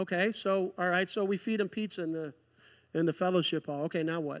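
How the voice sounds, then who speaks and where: A man's high voice at a fairly quick pace against a quiet background. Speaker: preacher. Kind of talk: sermon. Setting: church. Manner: earnest, pleading, fervent. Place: church.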